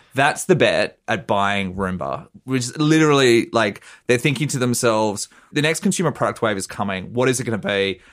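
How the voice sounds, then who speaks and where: On a very clean recording with a silent background, a man with an Australian accent talks at a fairly quick pace with lively intonation. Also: medium pitch for a man. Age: 30s. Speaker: journalist. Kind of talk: casual chat.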